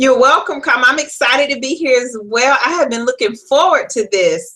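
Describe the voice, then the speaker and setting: In a slight Southern US accent, a woman projects a raised voice with a high pitch and a bright, sharp tone. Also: ordinary pitch variation, moderate pace. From US South, South Carolina (Florence). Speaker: career coach and author. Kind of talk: interview.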